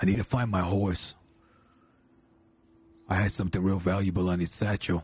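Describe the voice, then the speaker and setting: A man's raspy, put-on character voice, very deep and low in pitch, with monotone, flat intonation and long, frequent pauses. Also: moderate pace. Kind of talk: Western roleplay drawl. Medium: game stream. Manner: measured, scheming.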